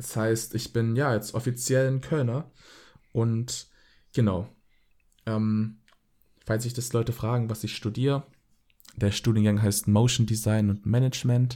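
The tone is dark and mellow, in a flat monotone. The pace is fairly slow, broken by long, frequent pauses. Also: man, medium pitch for a man. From Swabia, Baden-Württemberg. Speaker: podcast host. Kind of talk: casual chat.

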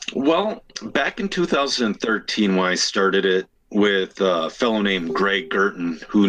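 A man with an Upper Midwest accent speaks in a bright, sharp tone at a fairly low pitch. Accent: Upper Midwest (Minnesota). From Minnesota, Elk River. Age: 30s. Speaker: RC racer and podcast host. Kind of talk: casual chat.

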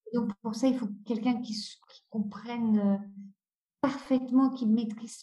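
This woman has a fairly high pitch and a dark, mellow tone that is somewhat breathy. Her intonation stays fairly even, and she speaks at a fairly slow pace. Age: 50s. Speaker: author. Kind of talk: interview. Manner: halting.

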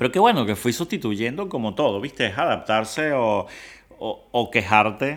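This is an unremarkable speaking voice from a man at medium pitch. The recording is very clean, with a silent background. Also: lively intonation, moderate pace. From Venezuela. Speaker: food influencer and home cook. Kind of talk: casual interview chat.

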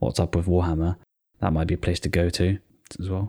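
On a very clean recording with a silent background and a dry, close sound with no echo, a man with a British accent speaks in a very deep, low pitch. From Britain. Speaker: podcast co-host. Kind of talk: casual chat.

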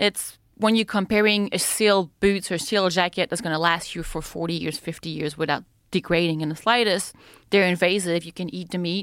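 A woman with a French accent speaks at a fairly low pitch and a moderate pace. Her pitch variation is ordinary, and the recording is very clean with a silent background. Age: 30s. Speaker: free-diver and spear-fisher. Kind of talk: casual chat. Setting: studio.

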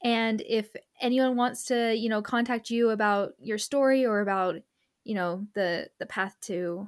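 A woman's fairly high, ordinary speaking voice at a moderate pace with ordinary pitch variation, in a very clean recording with a silent background. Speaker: podcast host and nonprofit founder. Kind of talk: interview conversation.

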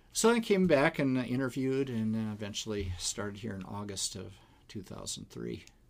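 A man with an American accent talks at a moderate pace in a medium pitch and an ordinary speaking voice. His loudness swings widely while his pitch varies in an ordinary way. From Wisconsin. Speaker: philosophy professor and pastor. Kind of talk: casual interview.

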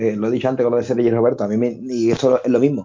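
Very fast speech from a man, medium in pitch. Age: 30s. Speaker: football pundit. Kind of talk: casual chat. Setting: video call. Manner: animated.

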